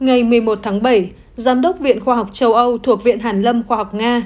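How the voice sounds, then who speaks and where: In an unremarkable speaking voice, a woman talks at a fairly slow pace with a fairly high pitch and ordinary pitch variation. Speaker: news presenter. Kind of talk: news reading.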